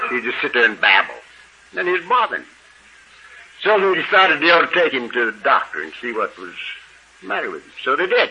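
A man talks at a very fast pace, with long, frequent pauses, big swings in loudness and noticeable background noise. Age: 70s. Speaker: AA speaker. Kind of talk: recovery talk to an audience. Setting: stage with audience.

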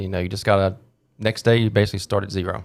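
A man's ordinary speaking voice with an American accent, fairly low in pitch with fairly even intonation, on a very clean recording with a silent background. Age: 20s. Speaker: insurance agent. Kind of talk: casual chat.

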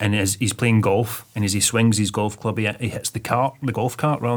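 This is a man's voice. He has a Scottish accent. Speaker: web designer and film extra. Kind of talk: casual chat.

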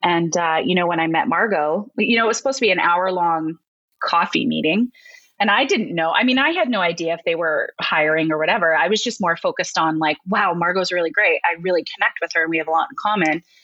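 With a Canadian accent, a woman speaks very fast in a fairly low voice, her bright, sharp tone carrying lively intonation at very even loudness. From Alberta, Canada (near Red Deer). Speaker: educator at a learning company, former teacher. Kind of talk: casual interview.

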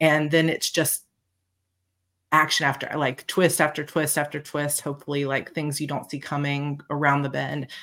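A woman with an American accent speaks in a very deep, low voice with monotone, flat intonation, on a very clean recording with a silent background. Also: moderate pace. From Georgia, US South. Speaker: bestselling fantasy author. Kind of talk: casual interview chat.

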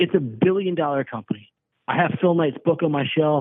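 This is a man with a normal speaking voice. He talks at a moderate pace with ordinary pitch variation. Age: 40s. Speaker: prank call target. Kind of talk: complaint phone call. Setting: phone call.

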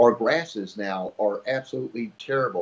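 A man is speaking. He keeps a moderate pace. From Miami, Florida. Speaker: fishing TV host and writer. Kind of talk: casual interview.

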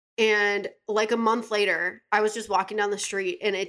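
A woman speaks at a medium pitch with an accent from Western New York. Her intonation is flat and monotone. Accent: Western New York American. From Buffalo, New York, US. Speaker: yoga instructor and assistant. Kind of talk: casual chat.

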